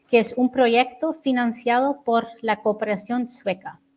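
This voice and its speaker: A woman's fairly high voice with a non-native accent, very slow pace and fairly even intonation. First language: not Spanish (speaking Spanish). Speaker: human rights researcher. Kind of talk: conference presentation. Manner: hesitant.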